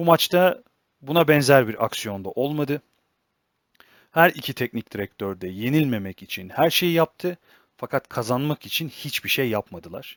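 This very clean recording, with a silent background and a dry, close sound with no echo, captures a man using a plain, everyday voice at a fairly high pitch, with lively intonation and a moderate pace. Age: 20s. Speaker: football analysis YouTuber. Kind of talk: solo football analysis commentary.

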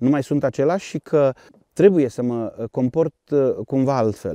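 With a dark, mellow tone and lively intonation, a man speaks at a fairly slow pace, the sound dry with no echo and the background quiet. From Romania, Harghita county (Bălan); Romania. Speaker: police spokesperson. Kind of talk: interview. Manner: formal. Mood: calm, reflective. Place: open country.

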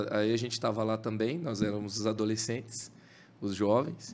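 The speaker is a man with a medium-pitched voice. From Brazil. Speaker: creativity speaker and author. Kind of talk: casual chat. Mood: relaxed, reflective, some laughter. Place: studio. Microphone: studio mic.

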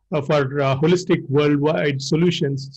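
A somewhat breathy man's voice, fairly high in pitch, over a quiet background. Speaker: interviewer. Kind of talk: interview. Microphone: video call.

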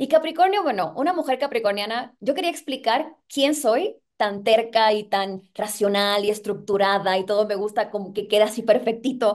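A woman speaks at a moderate pace with lively intonation and hardly any pauses. The background is quiet. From Puerto Rico. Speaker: singer and actress. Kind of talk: interview. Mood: excited, animated. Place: home room. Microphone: video call.

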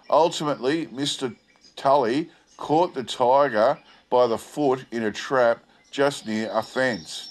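With an Australian accent, a man talks at a very slow pace in a medium pitch with ordinary pitch variation. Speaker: video channel host. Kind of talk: old newspaper report read aloud, then casual commentary. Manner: halting with fillers when commenting.

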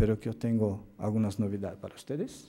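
A man's medium-pitched voice, dark and mellow in tone, at a moderate pace. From Brazil. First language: Portuguese (speaking Spanish). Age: 50s. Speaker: occupational medicine doctor and professor; physician lecturer. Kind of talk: lecture. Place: hall.

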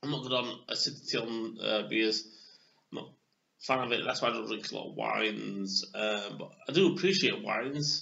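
Here is a man with a Yorkshire accent. His pitch sits at a medium level. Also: ordinary pitch variation, moderate pace. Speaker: beer reviewer. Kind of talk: casual video review. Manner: hesitant, many fillers.

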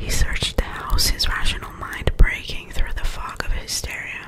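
The voice is a woman's, and she whispers. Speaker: ASMR creator. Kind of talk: scary story reading. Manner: whispered, soft. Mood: spooky storytelling. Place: home room. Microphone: studio mic.

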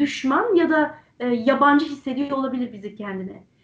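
The background is quiet as a woman talks. Her pitch is high, and its variation is ordinary. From Turkey. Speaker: interview host. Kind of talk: online interview. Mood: warm, smiling, friendly. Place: home room. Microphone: video call.

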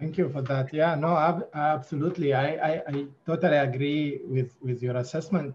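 A man with a somewhat breathy, fairly high voice speaks at a moderate pace. His intonation is fairly even, with light background noise. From Sudan. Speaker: writer and interviewer. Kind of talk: academic interview. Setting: video call. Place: home room. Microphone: video call.

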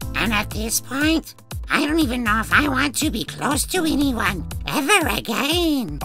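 The talking proceeds at a moderate pace. Clear music sounds in the background. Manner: dreamy, uncertain.

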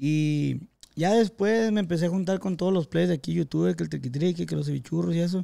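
Talking at a fairly quick pace in an unremarkable speaking voice, a man with a fairly high pitch comes through on a very clean recording with a silent background. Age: 20s. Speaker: podcast host. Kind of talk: casual chat.

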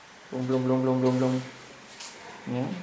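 A man with a Spanish accent, with audible room echo and light background noise. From Tenerife, Canary Islands. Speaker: English teacher. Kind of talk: casual interview; tutorial.

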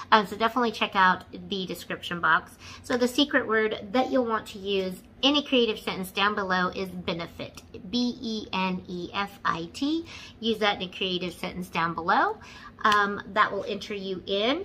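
A woman speaks at a moderate pace in a bright, sharp tone. Her pitch varies in an ordinary way, with light background noise. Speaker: beauty vlogger. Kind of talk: casual vlog chat. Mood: slightly hurried. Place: home room. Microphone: phone near.

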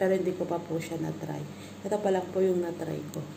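A woman talks at a medium pitch. Noticeable background noise runs behind her. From Philippines. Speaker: vlogger. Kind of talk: product review vlog. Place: home room. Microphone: phone near.

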